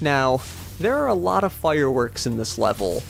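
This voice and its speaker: The voice swings very widely in pitch, with music playing in the background. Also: man. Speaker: let's play gamer. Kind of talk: gameplay commentary. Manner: fast; animated.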